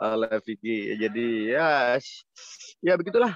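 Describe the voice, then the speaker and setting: A man with a Javanese accent speaks at a medium pitch with fairly even intonation, the sound dry and close with no echo against a quiet background. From Semarang, Central Java. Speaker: Batak clan heir, video call guest. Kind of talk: casual chat.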